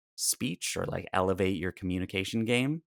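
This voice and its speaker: A man with a very deep, low voice and a slight Canadian accent is heard on a very clean recording with a silent background and a dry, close sound with no echo. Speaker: speaking and storytelling coach. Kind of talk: podcast interview.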